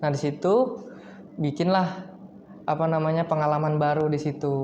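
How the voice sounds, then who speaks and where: There is noticeable background noise and audible room echo. A man talks at a moderate pace with fairly high pitch and ordinary pitch variation. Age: 20s. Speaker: university student and singer. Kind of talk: podcast interview. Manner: casual.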